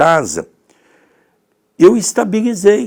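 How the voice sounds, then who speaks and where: A man is speaking. He talks at a fairly slow pace. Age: 60s. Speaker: spiritist teacher. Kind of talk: religious study talk.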